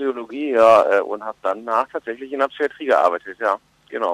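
A man's lively-intoned voice at a fairly quick pace, in a dry, close sound with no echo. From Germany, Ruhr area. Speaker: comedian and musician. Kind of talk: interview. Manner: hesitant with fillers.

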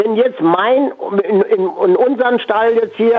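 Ordinary pitch variation in a man's high voice. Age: 80s+. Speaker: former jockey running a horse sanctuary. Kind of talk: radio interview. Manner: halting.

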